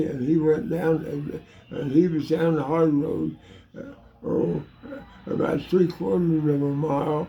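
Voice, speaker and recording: Pitched fairly high, a man speaks at a fairly slow pace with ordinary pitch variation. Noticeable background noise is present. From Illinois. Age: 80s+. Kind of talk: casual storytelling. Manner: hesitant, repetitive.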